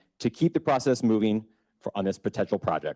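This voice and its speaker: A man with a fairly low pitch and a dark, mellow tone talks very fast with lively intonation, the sound dry and close with no echo against a quiet background. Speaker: economic development business recruiter, public commenter. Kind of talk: public comment at city council meeting, prepared statement. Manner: loud; formal, read from prepared text.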